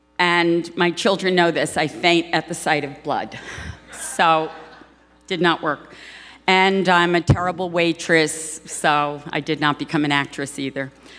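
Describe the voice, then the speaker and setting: Using a New York accent, a woman speaks fairly slowly at a fairly low pitch with fairly even intonation. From New York, Brooklyn. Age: 60s. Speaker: advertising producer. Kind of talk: acceptance speech. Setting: stage with audience.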